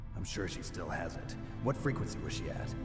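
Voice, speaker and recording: Loud music fills the background. Over it, a man puts on a character voice at a fairly quick pace. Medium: game stream. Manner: terse, gruff.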